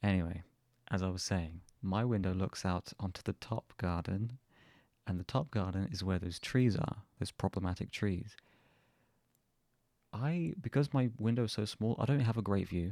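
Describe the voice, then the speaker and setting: In a very clean recording with a silent background, a man with a southern English accent speaks at a fairly low pitch with ordinary pitch variation, a dark, mellow tone, a dry, close sound with no echo, and long, frequent pauses. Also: moderate pace. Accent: southern English, a bit posh. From southern England. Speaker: vlogger. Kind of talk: casual chat. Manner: casual, hesitant with fillers.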